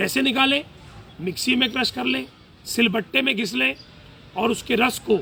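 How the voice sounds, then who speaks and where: A man uses a raised, projected voice at an extremely high pitch. Noticeable background noise is present. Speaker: ayurvedic doctor. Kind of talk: health talk / lecture. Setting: live session.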